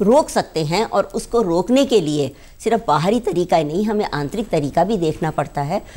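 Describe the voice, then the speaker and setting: A woman talks at a fairly slow pace with hardly any pauses, her pitch swinging very widely. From Rajasthan, Bikaner; Rajasthan, India. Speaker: beauty expert; guest. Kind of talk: TV interview. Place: studio. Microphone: lapel.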